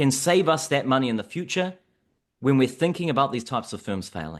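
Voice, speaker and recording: A man with a New Zealand accent, fairly high in pitch and fairly quick in pace, with very wide pitch swings against a quiet background. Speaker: economics researcher. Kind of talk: podcast discussion.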